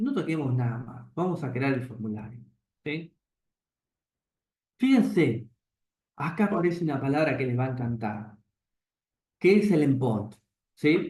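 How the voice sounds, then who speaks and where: A man with a fairly high pitch speaks at a fairly slow pace, somewhat breathy. His intonation is lively, and he takes long, frequent pauses. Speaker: programming teacher. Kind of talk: lecture.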